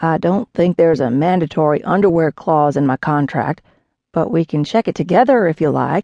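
A woman's put-on character voice, drawling and fairly low in pitch, at a moderate pace, dry and close with no echo over a quiet background. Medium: read story. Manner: drawling, easygoing, teasing.

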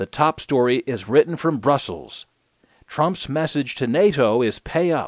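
A normal speaking voice from a man, fairly high in pitch, with lively intonation at a fairly slow pace. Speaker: audiobook newsreader. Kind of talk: news reading, scripted digest of newspaper articles. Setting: studio audiobook recording. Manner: formal, steady, even-paced newsreader delivery.

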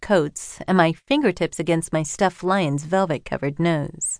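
A woman speaks in an unremarkable speaking voice at a fairly low pitch. Her pace is moderate, her pitch variation ordinary, and the background quiet. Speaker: audiobook narrator. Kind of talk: audiobook narration, first-person memoir read aloud. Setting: studio. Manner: measured, expressive, literary delivery with reflective pacing; warm, earnest, intimate.

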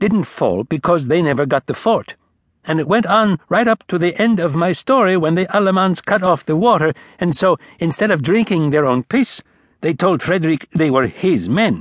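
A man's high-pitched, animated voice at a moderate pace, with a dry, close sound and no echo. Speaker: audiobook narrator. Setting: studio recording. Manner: animated, folksy storyteller rhythm with comic asides; slips into mock-foreign voices for quoted soldiers.

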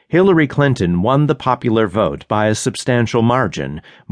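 Over a quiet background, a man with a plain, everyday voice and medium pitch speaks at a moderate pace. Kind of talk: scripted audiobook narration of a magazine essay. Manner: formal, measured, even-paced news-reading delivery; serious, sober tone.

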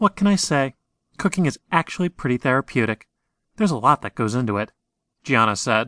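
Over a quiet background, a man with a medium pitch and a bright, sharp tone speaks fairly quickly and dramatically, with very wide pitch swings, long, frequent pauses, and a dry, close sound with no echo. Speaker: audiobook narrator. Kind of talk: audiobook narration of a horror fiction story. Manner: dramatic, suspenseful storytelling with measured pacing and tension.

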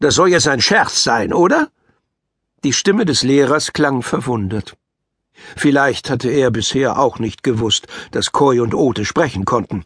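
A man at medium pitch with lively intonation, a fairly slow pace and long, frequent pauses, in a dry, close sound with no echo. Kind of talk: audiobook reading of a children's story, narrated aloud.

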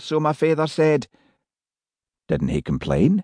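Fairly slow speech in a Scottish accent, with a dry, close sound with no echo and a quiet background. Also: man. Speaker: audiobook narrator. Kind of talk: audiobook narration; elderly woman telling her family history in Scots dialect.

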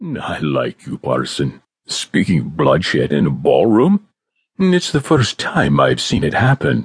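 A man puts on a raspy character voice, fairly low-pitched and fairly slow. The sound is dry and close, with no echo. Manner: amused, teasing.

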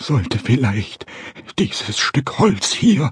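Very wide pitch swings at a very slow pace, in a dry, close sound with no echo. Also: man. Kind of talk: character voice in dramatic narration. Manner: excitable, frightened, comic.

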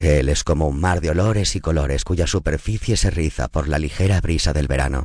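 A man talks at a fairly quick pace with hardly any pauses, his very deep, low voice showing vocal fry. His loudness stays very even, and his pitch varies in an ordinary way. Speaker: audiobook narrator. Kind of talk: guided meditation.

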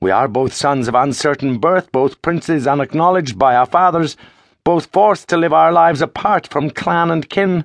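This man has a normal speaking voice with a fairly high pitch and ordinary pitch variation. He talks at a moderate pace with very even loudness against a quiet background. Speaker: audiobook narrator. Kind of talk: dramatic audiobook narration of epic fantasy, first-person retelling. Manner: solemn, measured, declamatory, building to hushed suspense.

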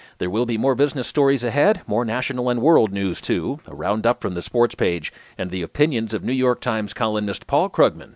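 A man talks at a fairly quick pace in an unremarkable speaking voice. The background is quiet. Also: dry, close sound with no echo. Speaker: audiobook newsreader. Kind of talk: scripted news digest narration, read aloud. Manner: formal, even and measured, steady newsreader delivery; neutral, clear, unemotional.

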